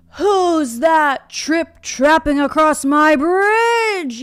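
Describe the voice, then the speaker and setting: Shouting in a put-on character voice, a woman speaks at a very slow pace with an extremely high pitch. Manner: yelling, gruff.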